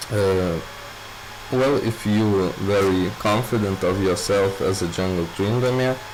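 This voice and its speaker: With a non-native accent, a man speaks at a very slow pace and fairly low pitch with fairly even intonation, amid noticeable background noise and audible room echo. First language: not English. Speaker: gaming youtuber. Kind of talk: tutorial. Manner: halting, many filler words.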